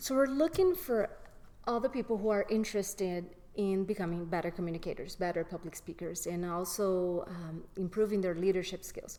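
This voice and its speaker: At a fairly quick pace, a woman talks in a non-native accent. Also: medium pitch for a woman, ordinary pitch variation. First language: not English. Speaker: graduate. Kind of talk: interview.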